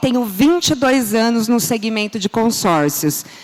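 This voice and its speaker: Over noticeable background noise, a woman with a fairly high pitch speaks at a moderate pace in an animated tone with lively intonation. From São Paulo state, Brazil (ABC region). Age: 40s. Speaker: business speaker. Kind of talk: conference talk. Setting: stage with audience.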